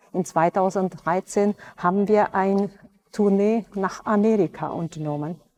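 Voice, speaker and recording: Fairly slow and fairly even in intonation, a woman speaks in a dark, mellow tone at a medium pitch with a Hungarian accent. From Transylvania, Romania (Hungarian-speaking). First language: Hungarian (speaking German). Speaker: orchestra violinist. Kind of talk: personal interview monologue. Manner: hesitant with filler sounds.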